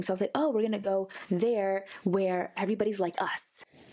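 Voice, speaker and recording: This woman speaks with an American accent. Noticeable background noise runs under her voice. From United States. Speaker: podcast co-host. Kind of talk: casual chat.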